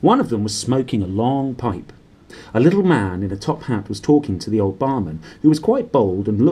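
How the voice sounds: The delivery is a natural reading voice with lively intonation.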